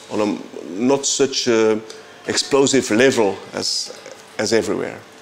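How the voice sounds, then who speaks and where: There is noticeable background noise as a man speaks at a medium pitch. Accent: Flemish Belgian. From Belgium (Flanders). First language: Flemish. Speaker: composer and bandleader. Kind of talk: interview. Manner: halting, frequent repetitions.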